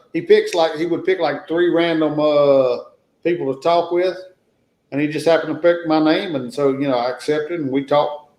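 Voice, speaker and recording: At a fairly quick pace, a man with a Southern US accent speaks with a fairly high pitch and fairly even intonation. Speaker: travel channel creator, guest. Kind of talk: casual chat.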